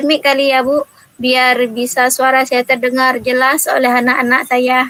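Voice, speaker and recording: A woman with a high pitch uses a raised, projected voice at a fairly slow pace, her intonation monotone and flat, in a dry, close sound with no echo. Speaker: primary school teacher. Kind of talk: role-play coaching session.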